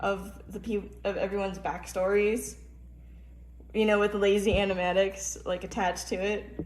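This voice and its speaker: The speech goes at a moderate pace against noticeable background noise. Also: woman. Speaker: character creator and animator. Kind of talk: casual talk to camera. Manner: stuttering, stumbling over words.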